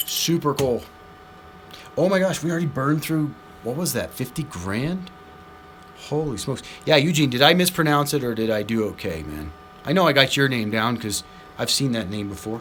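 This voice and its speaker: Over noticeable background noise, a man with an American accent speaks in an animated tone at a fairly quick pace. He leaves long, frequent pauses. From US Southwest. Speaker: slot machine streamer. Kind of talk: live stream commentary.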